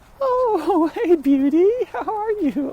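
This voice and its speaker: Putting on a squeaky character voice, a man speaks at an extremely high pitch. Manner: sweet, affectionate pet-talk.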